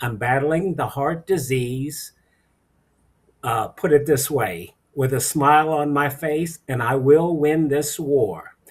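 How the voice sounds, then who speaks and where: Talking at a very slow pace, this man has a fairly high, somewhat breathy voice. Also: ordinary pitch variation. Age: 60s. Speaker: kidney patient, aerospace worker. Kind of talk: personal testimony.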